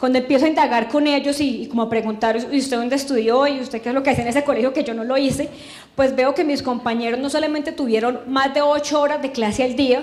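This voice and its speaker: Amid noticeable background noise and audible room echo, a woman with a strong Santander accent speaks very fast at a high pitch, her intonation fairly even. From Colombia, Santander (Girón). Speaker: education official, former teacher. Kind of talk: testimony speech.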